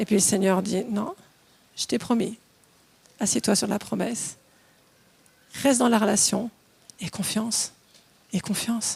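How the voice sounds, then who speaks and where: A woman speaks at a fairly slow pace in a fairly high pitch with an animated tone. Her speech has long, frequent pauses. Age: 60s. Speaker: preacher. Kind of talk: sermon.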